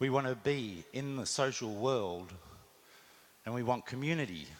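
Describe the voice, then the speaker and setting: This man has an Australian accent, a medium pitch, lively intonation and a moderate pace. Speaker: marketing executive. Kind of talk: conference talk.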